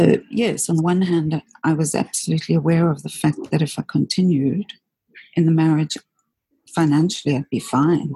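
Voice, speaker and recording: A woman's somewhat breathy, very deep, low voice in a dark, mellow tone, with ordinary pitch variation, very even loudness and a moderate pace, recorded dry and close with no echo. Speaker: single mother. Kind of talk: personal life story interview. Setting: public library.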